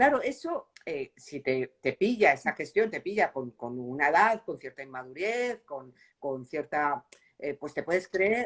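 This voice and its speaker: With very wide pitch swings and big shifts in loudness, a woman talks at a fairly slow pace and a fairly low pitch. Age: 60s. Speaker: novelist. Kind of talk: interview. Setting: book fair.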